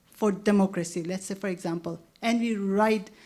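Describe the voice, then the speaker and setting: In a Nagaland accent, a woman talks at a moderate pace. Her pitch is medium, with ordinary variation. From Nagaland, northeast India. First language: Lotha. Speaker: anthropologist. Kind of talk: panel discussion. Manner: halting, many restarts and fillers.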